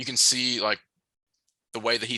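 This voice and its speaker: There's a quiet background behind a man whose tone is bright and sharp. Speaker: basketball recruiting analyst. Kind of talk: interview.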